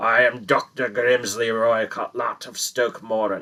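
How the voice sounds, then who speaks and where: Putting on a raspy character voice, a man speaks at a medium pitch and a fairly slow pace. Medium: read story. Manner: menacing, furious.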